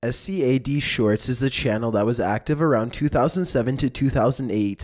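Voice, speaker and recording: A man's ordinary speaking voice, medium in pitch with ordinary pitch variation, in a very clean recording over a silent background. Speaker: narrator. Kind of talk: horror countdown narration.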